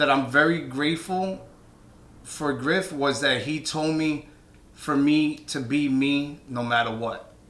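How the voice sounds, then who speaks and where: A man with a New York accent, fairly high in pitch, at a very slow pace, with fairly even intonation and audible room echo. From New York (Brooklyn). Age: 30s. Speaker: DJ and DJ instructor. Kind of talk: casual chat.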